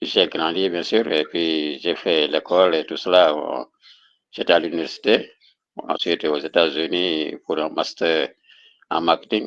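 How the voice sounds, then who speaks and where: A man speaks in a very deep, low voice with fairly even intonation. His pace is very slow, broken by long, frequent pauses. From central Senegal. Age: 60s. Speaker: author. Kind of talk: interview. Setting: online video call.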